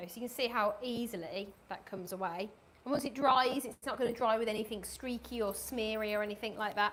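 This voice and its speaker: A woman with a Birmingham accent, enthusiastic tone, fairly high pitch, very fast pace and big swings in loudness. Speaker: cleaning product presenter. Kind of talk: live product demonstration. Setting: live stream studio. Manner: chatty, enthusiastic.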